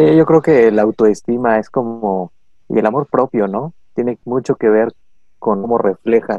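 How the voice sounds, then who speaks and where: A man speaks with a Mexican accent at a fairly slow pace. His medium-pitched voice shows ordinary pitch variation. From Mexico. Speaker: podcast co-host. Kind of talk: casual chat.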